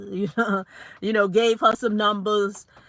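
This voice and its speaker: The recording is very clean with a silent background. A woman speaks at a moderate pace in a fairly high voice with a bright, sharp tone. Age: middle-aged. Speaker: credit and business finance YouTuber. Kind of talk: casual livestream talk. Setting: live video stream. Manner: conversational, many fillers.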